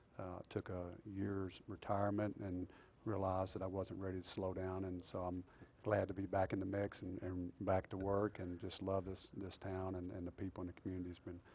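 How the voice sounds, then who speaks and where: Speaking fairly quickly in a Texan accent, a man has a very deep, low pitch and a dark, mellow tone. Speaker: police chief. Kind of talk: interview.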